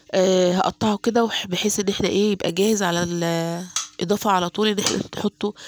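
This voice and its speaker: A woman speaks at a medium pitch and a moderate pace with an Egyptian accent. The sound is dry and close, with no echo. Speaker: home cooking vlogger. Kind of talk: cooking tutorial. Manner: casual, with many fillers.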